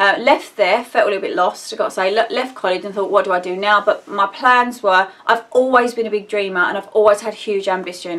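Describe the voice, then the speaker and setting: With an Essex accent, a woman talks at a fairly quick pace and a medium pitch, with ordinary pitch variation and noticeable background noise. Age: 30s. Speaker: vlogger. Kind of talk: personal vlog update. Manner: rambling, hesitant.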